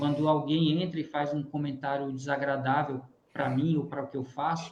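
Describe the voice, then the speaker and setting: With a slight northeastern Brazilian accent, a man talks at a moderate pace and with fairly even intonation. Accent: mild Northeast Brazilian. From Northeast Brazil. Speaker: physics teacher and YouTuber. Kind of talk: webinar panel discussion.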